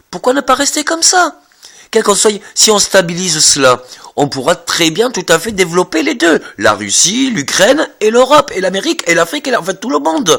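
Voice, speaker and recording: The pace is moderate. Pitch swings are very wide. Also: man. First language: not French (speaking French). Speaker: vlogger. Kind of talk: monologue. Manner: halting, many repetitions and fillers.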